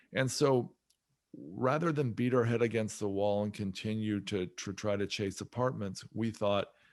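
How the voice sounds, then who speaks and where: In a normal speaking voice, a man talks at a fairly low pitch with ordinary pitch variation. His pace is moderate, and the background is quiet. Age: 50s. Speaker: real estate investor. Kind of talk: podcast interview.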